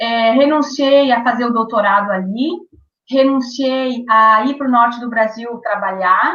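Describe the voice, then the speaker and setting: A woman with a high pitch, fairly even intonation and a fairly slow pace. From southern Brazil, Rio Grande do Sul, Quarta Colônia. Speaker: author and former radio broadcaster. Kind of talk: interview. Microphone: delayed connection.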